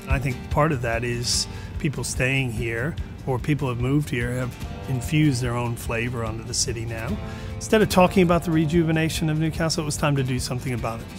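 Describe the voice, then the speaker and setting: A man talking at a very fast pace, ordinary pitch variation, clear music playing behind him. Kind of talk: interview answer. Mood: proud, upbeat. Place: bar. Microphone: lapel.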